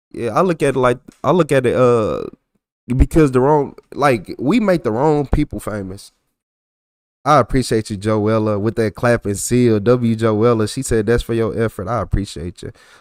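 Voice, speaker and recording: A man's medium-pitched voice at a moderate pace with ordinary pitch variation, dry and close with no echo, on a very clean recording with a silent background. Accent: American. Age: 40s. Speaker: livestreamer reacting to police videos. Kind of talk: casual livestream chat with viewers. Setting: livestream. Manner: relaxed, slangy, repetitive.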